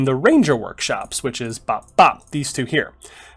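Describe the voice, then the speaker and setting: Music plays in the background as a man speaks in a fairly high voice. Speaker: video game let's play host. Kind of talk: casual gameplay commentary.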